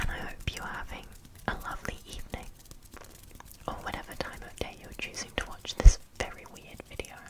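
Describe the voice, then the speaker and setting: A whisper moves at a fairly quick pace, broken by long, frequent pauses, over noticeable background noise. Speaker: ASMR creator. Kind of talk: ASMR makeup tutorial. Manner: whispered.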